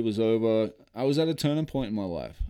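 An American-accented man at a fairly quick pace, ordinary pitch variation, very clean recording with a silent background. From Australia. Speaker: former professional baseball player and charity founder. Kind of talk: casual interview.

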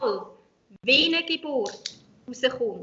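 A woman is speaking. Her pace is very slow. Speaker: hypnobirthing instructor. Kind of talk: interview.

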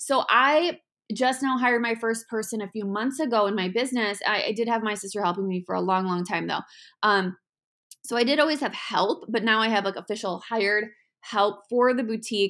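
In a very clean recording with a silent background, the speaker uses an animated tone at a fairly quick pace with ordinary pitch variation. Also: woman, fairly high pitch for a woman. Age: 30s. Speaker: podcast host and online shop owner. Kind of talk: solo podcast monologue. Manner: fast.

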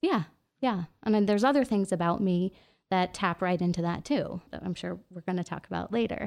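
A woman with an American accent uses a normal speaking voice at a medium pitch, with ordinary pitch variation. She talks at a fairly quick pace in a very clean recording with a silent background. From New York City. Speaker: artist and attorney. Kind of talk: casual chat.

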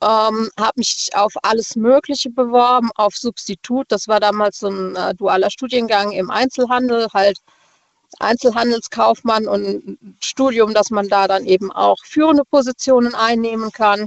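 A woman speaks at a fairly slow pace with fairly high pitch and a plain, everyday voice. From Rastatt, Baden. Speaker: caller, notary office clerk. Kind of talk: casual phone chat. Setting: phone call.

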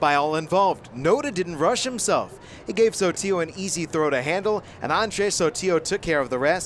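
Hardly pausing, a man talks at a fairly quick pace with a high pitch. His tone is relaxed, with ordinary pitch variation. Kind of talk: color commentary alongside play-by-play. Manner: conversational, analytical, relaxed.

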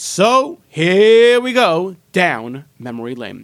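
A man talks in a high voice with a warm tone. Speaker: radio host. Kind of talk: radio DJ patter, upbeat show intro and phone-line plugs. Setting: radio studio. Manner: repeats phone numbers and slogans, salesy and warm.

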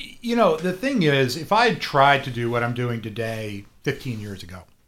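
This is an unremarkable speaking voice with an American accent, moving at a moderate pace. The recording is very clean, with a silent background. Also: man. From South Florida. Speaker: learning center owner. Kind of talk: radio interview.

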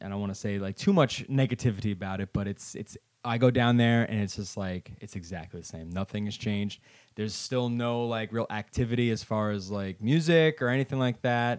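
With an ordinary speaking voice, a man talks at a fairly quick pace, his fairly low pitch showing ordinary pitch variation. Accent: American. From Brooklyn, New York. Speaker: musician. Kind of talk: casual interview chat.

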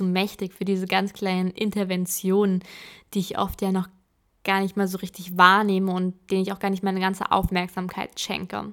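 In a very clean recording with a silent background, a woman talks at a moderate pace with a medium pitch and monotone, flat intonation. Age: 20s. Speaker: podcaster. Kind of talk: personal monologue podcast.

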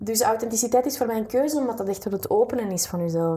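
A dark, mellow tone with ordinary pitch variation. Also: woman. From Flanders, Belgium. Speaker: writer and coach, former radio announcer. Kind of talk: interview.

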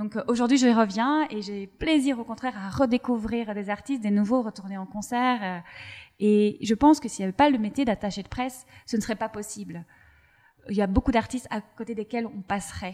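A woman's fairly high voice with a dark, mellow tone, ordinary pitch variation, big swings in loudness and a moderate pace. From Belgium. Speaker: podcast host. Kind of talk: podcast interview.

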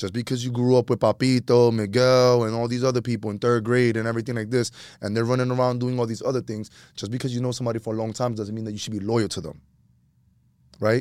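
In a very clean recording with a silent background, a man with an American accent talks at a very fast pace, medium in pitch, with monotone, flat intonation. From New York City, Washington Heights. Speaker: real estate investor and former teacher. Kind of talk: casual chat.

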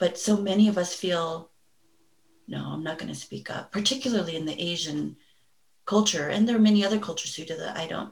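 This is an ordinary speaking voice from a woman with an American accent. Her pitch is medium, with ordinary pitch variation. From Los Angeles, US. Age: 40s. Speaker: mental health therapist. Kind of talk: interview.

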